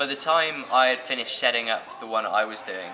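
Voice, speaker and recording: Music plays in the background as a man with a British accent talks at a fairly quick pace. Audible room echo surrounds his voice. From England. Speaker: social entrepreneur. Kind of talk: interview.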